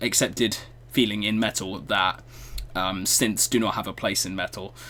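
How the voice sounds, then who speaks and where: A man delivers his words at a moderate pace in a British accent. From Britain. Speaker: music reaction youtuber. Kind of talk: video reaction commentary. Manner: hesitant, many fillers.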